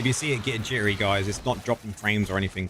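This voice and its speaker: A man speaks with a fairly low pitch and fairly even intonation. Noticeable background noise runs underneath. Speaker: gaming streamer. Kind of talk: live stream chat and game tutorial. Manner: fast.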